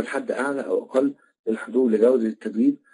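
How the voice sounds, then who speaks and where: This man has a dark, mellow tone at a medium pitch. He speaks with an Egyptian accent. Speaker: trainer of trainers. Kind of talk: online lecture. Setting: online classroom.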